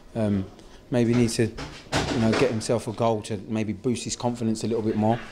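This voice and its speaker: Noticeable background noise runs under the speech. The delivery keeps a moderate pace with monotone, flat intonation. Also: man. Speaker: football manager giving post-match interview. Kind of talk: post-match interview. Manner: hesitant, halting, with frequent fillers and repeated words. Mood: calm, subdued post-match.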